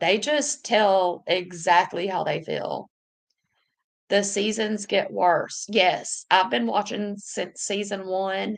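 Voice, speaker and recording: A woman's medium-pitched voice in a Southern US accent, very slow, with vocal fry and ordinary pitch variation. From US South. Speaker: YouTuber reading live chat. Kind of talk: casual livestream chat. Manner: animated.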